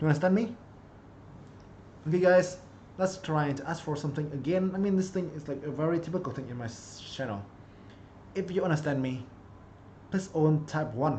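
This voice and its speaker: Audible room echo follows a man speaking at a fairly quick pace, his pitch fairly high with ordinary variation. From Vietnam. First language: Vietnamese. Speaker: chess streamer and coach. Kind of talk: live-streamed chess lesson. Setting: live stream.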